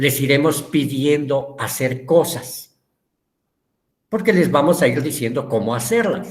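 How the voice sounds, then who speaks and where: Here a man speaks fairly slowly in a fairly high pitch. His voice is somewhat breathy, with ordinary pitch variation. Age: 60s. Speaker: teacher. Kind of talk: lecture.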